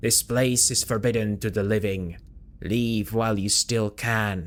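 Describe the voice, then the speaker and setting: Using a put-on character voice, a man booms at a fairly slow pace with a fairly low pitch. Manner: commanding, warning.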